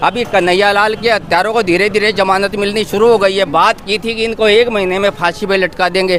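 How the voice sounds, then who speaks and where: With hardly any pauses, the speech runs at a moderate pace in monotone, flat intonation over noticeable background noise. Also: man, high pitch for a man. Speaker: local resident interviewed by reporter. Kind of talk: street interview.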